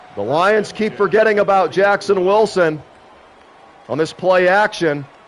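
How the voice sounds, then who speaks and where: With ordinary pitch variation and a moderate pace, a man talks through noticeable background noise. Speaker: gaming streamer doing play-by-play commentary. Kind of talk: live commentary. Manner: animated.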